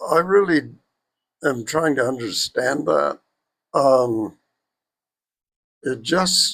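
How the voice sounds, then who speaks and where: Pausing long and often, a man with a fairly high voice speaks very slowly with lively intonation. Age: 80s+. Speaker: video blogger. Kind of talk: personal reflection monologue. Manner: halting.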